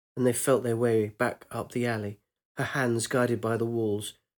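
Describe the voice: Against a quiet background, the text gets plain reading aloud.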